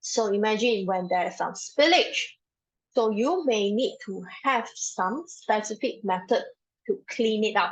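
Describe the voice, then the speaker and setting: With lively intonation, a woman speaks at a fairly high pitch and a fairly slow pace. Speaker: safety trainer. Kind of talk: online training lecture. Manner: speaking louder than usual.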